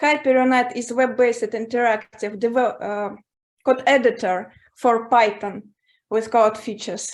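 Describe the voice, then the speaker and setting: A woman with a non-native accent speaks at a moderate pace in a fairly high pitch. Her intonation is fairly even, and the recording is very clean with a silent background. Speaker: startup founder pitching. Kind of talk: startup pitch. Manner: halting, many fillers.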